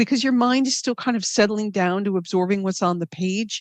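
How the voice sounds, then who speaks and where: In a normal speaking voice, a woman with an American accent talks fairly quickly at medium pitch with fairly even intonation, the sound dry and close with no echo over a quiet background. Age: 60s. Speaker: novelist. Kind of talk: interview.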